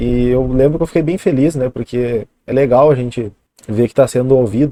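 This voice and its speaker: The man's medium-pitched voice has a dark, mellow tone and ordinary pitch variation, moving at a moderate pace in a dry, close sound with no echo. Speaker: youtuber, bitcoin commentator. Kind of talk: casual vlog monologue.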